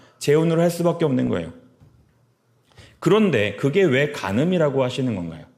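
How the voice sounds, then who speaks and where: A man's lively intonation over audible room echo. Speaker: pastor. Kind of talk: sermon. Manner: fast.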